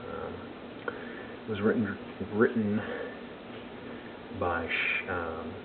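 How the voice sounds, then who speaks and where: Over noticeable background noise and audible room echo, the speaker talks at a very slow pace with fairly even intonation. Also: man. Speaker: amateur movie reviewer. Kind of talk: casual video review. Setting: at home late at night. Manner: hesitant, many fillers; soft-spoken.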